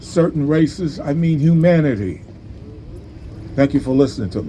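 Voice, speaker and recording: A man's voice shows ordinary pitch variation amid noticeable background noise. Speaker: community elder. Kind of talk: short speech at event.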